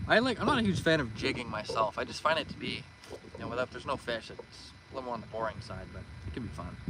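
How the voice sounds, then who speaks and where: A man speaks at a very fast pace with medium pitch and lively intonation. His loudness swings widely, and there is noticeable background noise. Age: 20s. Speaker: fishing streamer. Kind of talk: live stream chat. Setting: outdoors. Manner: casual.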